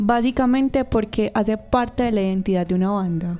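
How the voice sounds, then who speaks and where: A woman's medium-pitched voice over music in the background. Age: 20s. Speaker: costume designer. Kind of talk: casual interview chat.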